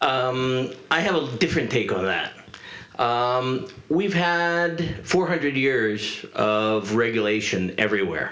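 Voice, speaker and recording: A man speaks very slowly with a Spanish accent. His pitch swings very widely while his loudness stays very even. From Uruguay. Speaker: former telecom executive, panelist; panelist. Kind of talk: panel discussion. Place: stage. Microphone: handheld.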